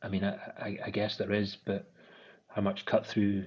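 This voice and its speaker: A man with an Aberdeen accent talks at a fairly quick pace. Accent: Scottish (Aberdeen). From Scotland, Aberdeen. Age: 30s. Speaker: menswear brand founder and designer. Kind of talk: podcast interview. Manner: hesitant, repeats words.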